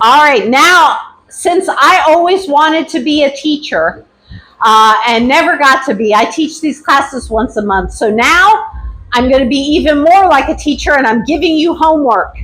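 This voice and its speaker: Loud and high-pitched, a woman talks at a moderate pace with lively intonation, and audible room echo surrounds her voice. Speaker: activism class instructor. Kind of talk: lecture. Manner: casual.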